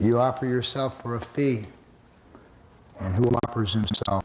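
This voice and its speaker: Against noticeable background noise, a man talks at a fairly slow pace with a medium-pitched voice. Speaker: poet. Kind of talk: poetry reading. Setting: live audience, church hall.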